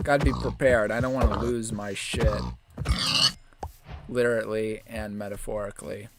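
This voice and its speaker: A man keeps a moderate pace but leaves long, frequent pauses, with noticeable background noise around him. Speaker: gaming streamer. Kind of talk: live gameplay commentary. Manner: quiet.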